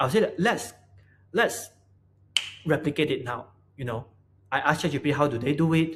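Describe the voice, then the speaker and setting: A man with a fairly high pitch talks at a moderate pace with ordinary pitch variation, sounding somewhat breathy and leaving long, frequent pauses. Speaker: product designer. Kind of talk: casual talk to camera. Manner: stuttering, hesitant.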